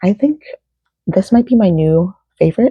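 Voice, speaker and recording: Whispering at a fairly slow pace, a woman sounds somewhat breathy in a dry, close recording with no echo. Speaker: crochet pattern designer vlogger. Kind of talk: casual vlog.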